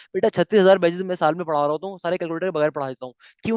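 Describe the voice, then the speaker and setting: A man speaks with a high pitch and ordinary variation. The sound is dry and close, with no echo. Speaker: maths teacher. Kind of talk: lecture. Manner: not loud, fasting; animated.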